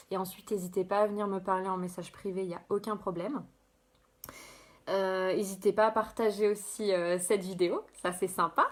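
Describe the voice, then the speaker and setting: A woman talks at a moderate pace and medium pitch, her intonation monotone and flat. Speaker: life coach. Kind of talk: live stream presentation. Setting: live video stream. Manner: halting.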